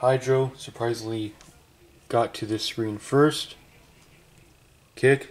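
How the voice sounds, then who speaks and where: Over background music, a man with a medium-pitched voice talks at a very slow pace, with long, frequent pauses and fairly even intonation. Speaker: tech youtuber. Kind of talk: tutorial. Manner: casual, halting with fillers.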